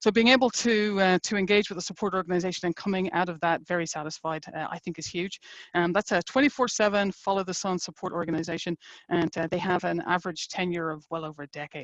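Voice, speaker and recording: Talking at a very fast pace, a woman with an Irish accent is heard in a dry, close sound with no echo. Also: fairly low pitch for a woman, ordinary pitch variation. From Ireland. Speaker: engineering executive. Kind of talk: webinar presentation.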